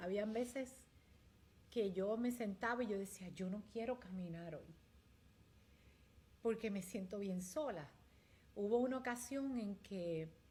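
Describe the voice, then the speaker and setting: A woman speaks fairly slowly in a dark, mellow tone at a medium pitch. Her voice is somewhat breathy, with ordinary pitch variation. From Puerto Rico. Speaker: community leader. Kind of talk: interview testimony.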